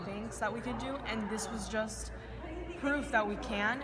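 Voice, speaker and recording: A woman at a moderate pace, with crowd noise in the background. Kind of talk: interview answer. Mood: earnest, motivated. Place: hall. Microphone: phone near.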